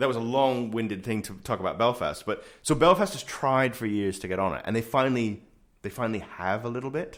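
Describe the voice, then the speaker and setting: The delivery comes at a fairly quick pace. It is an ordinary speaking voice with ordinary pitch variation. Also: man, medium pitch for a man. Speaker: podcast host. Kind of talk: casual interview conversation. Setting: studio.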